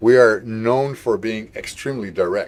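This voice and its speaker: A man is speaking. He has a Dutch accent. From Netherlands. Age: 50s. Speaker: gaming livestreamer. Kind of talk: casual chat. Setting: live stream.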